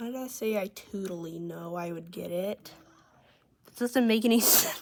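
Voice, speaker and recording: A woman at a medium pitch and moderate pace, with ordinary pitch variation and big swings in loudness. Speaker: gaming youtuber. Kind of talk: gameplay tutorial. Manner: shaky, halting.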